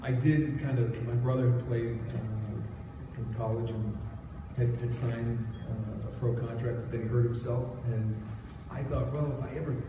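A man talks at a moderate pace with fairly even intonation, amid noticeable background noise and audible room echo. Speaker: guest. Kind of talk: interview answer. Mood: relaxed, joking. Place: hall.

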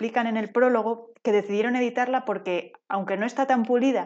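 A female-sounding voice speaks in a guttural, put-on character voice. The pace is moderate. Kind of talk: affected solemn. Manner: pompous.

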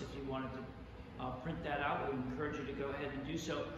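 A man amid noticeable background noise and strong room echo. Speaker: pastor. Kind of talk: church welcome announcements. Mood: warm, welcoming. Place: church.

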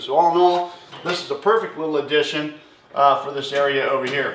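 A man talks at a fairly quick pace with fairly even intonation. The room echo is audible, and there is light background noise. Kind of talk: casual vlog chat. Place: garage. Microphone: camera far.

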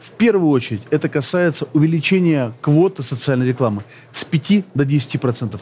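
A man speaks with lively intonation. His pace is moderate. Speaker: interviewee. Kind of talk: interview answer. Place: booth. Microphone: headset.

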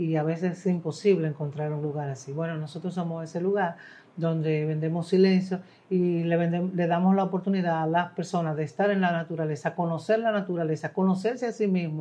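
A woman with a Dominican accent talks at a fairly quick pace, her fairly low pitch held in a fairly even intonation. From Dominican Republic. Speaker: singer-songwriter. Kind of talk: interview answer. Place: studio. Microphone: lapel.

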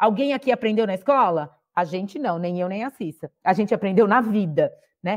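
With a quiet background, a woman speaks at a moderate pace. Her pitch shows ordinary variation. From interior of São Paulo state, Brazil (Sertãozinho); São Paulo state, Brazil. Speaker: mentoring platform co-founder, former executive; podcast guest. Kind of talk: podcast interview. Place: home room. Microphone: earbuds.

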